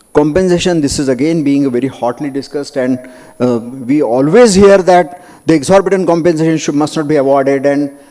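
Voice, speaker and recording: Noticeable background noise sits behind a man with an Indian accent. His pitch is fairly high, with ordinary variation. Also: moderate pace. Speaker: doctor and medico-legal speaker. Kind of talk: conference lecture. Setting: conference hall with audience.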